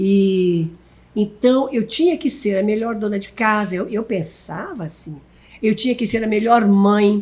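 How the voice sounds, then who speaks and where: A woman speaks fairly slowly at a medium pitch. Her voice is somewhat breathy, with a dark, mellow tone. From Brazil, Paraná. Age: 80s+. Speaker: pastor. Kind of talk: casual chat. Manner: halting.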